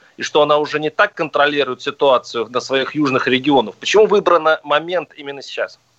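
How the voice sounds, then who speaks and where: With a normal speaking voice, a man at a fairly high pitch talks at a fairly quick pace with hardly any pauses and ordinary pitch variation, in a dry, close sound with no echo. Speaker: radio host. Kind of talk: radio talk show debate. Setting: radio studio.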